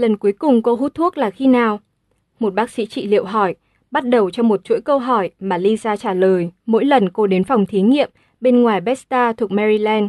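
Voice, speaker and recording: In a normal speaking voice, a woman talks at a moderate pace with a fairly high pitch and ordinary pitch variation, the sound dry and close with no echo and the background quiet. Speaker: audiobook narrator. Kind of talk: audiobook reading.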